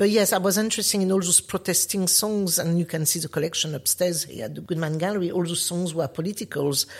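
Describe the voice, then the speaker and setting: In a French accent, a somewhat breathy voice races at a very fast pace on a very clean recording with a silent background. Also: woman. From France, Paris. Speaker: artist. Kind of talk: interview.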